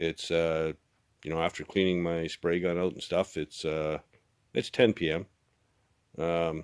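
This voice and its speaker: A man's relaxed voice at a moderate pace, dry and close with no echo, in a very clean recording with a silent background. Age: 60s. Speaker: car restorer and shop owner vlogger. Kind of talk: casual vlog talk to camera. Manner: relaxed with many filler words.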